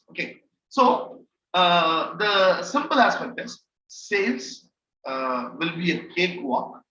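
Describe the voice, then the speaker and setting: A man uses a raised, projected voice with a bright, sharp tone. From India. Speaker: trainer. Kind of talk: online training session. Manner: halting, many fillers.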